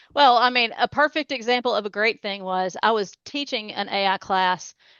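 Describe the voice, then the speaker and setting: A woman speaks at a moderate pace with a Tennessee accent. Her pitch is fairly high and varies in an ordinary way. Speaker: cybersecurity expert. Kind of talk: interview.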